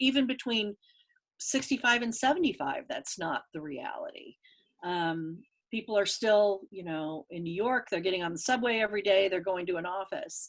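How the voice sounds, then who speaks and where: A woman with an ordinary speaking voice, medium pitch and a moderate pace. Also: lively intonation. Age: 60s. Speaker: market researcher and author. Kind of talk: interview.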